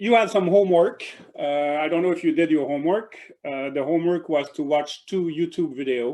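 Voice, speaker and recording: With a French accent, a man speaks fairly quickly in a high voice with ordinary pitch variation. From Quebec, Canada. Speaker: professor. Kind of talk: lecture. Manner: halting, many fillers and repeats.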